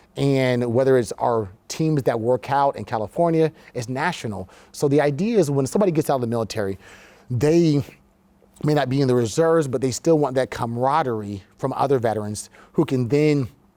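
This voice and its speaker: Spoken with an American accent in a dark, mellow tone, at a fairly quick pace with ordinary pitch variation. The recording is very clean, with a silent background. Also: man, medium pitch for a man. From US South (Orlando, Florida). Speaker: war veteran and business leader. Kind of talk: interview. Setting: studio.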